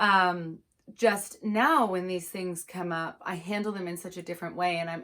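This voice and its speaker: A woman speaks in an ordinary speaking voice with a medium pitch. Her pace is fairly slow. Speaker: anxiety coach. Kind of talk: online course talk. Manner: casual, with many fillers.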